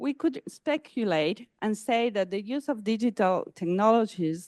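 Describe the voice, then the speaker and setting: A woman's fairly high voice with a dark, mellow tone, at a fairly slow pace, dry and close with no echo, over a quiet background. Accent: Spanish. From Argentina. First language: Spanish. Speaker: academic conference speaker. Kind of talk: conference talk. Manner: halting, with many fillers.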